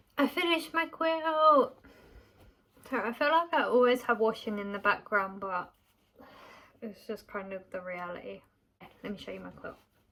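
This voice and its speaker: This woman has a British accent and a bright, sharp tone, her fairly high pitch making very wide swings as she talks at a moderate pace with long, frequent pauses. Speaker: small business owner and vlogger. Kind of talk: casual vlog talk; voiceover narration.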